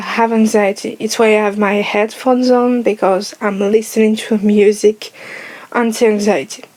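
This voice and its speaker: The woman's pitch sits fairly high. Her intonation is monotone and flat. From France. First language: French. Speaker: YouTuber. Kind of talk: personal vlog monologue. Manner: slow.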